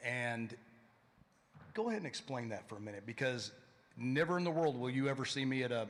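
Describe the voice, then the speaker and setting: At a very fast pace, a man speaks in a medium pitch with ordinary variation. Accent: Tennessee. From Tennessee. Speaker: panel moderator. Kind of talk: panel discussion.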